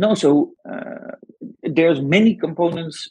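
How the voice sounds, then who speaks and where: A man with a Dutch accent and ordinary pitch variation. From Netherlands. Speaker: venture capital investor, former footballer. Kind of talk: interview conversation. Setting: remote call. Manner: enthusiastic.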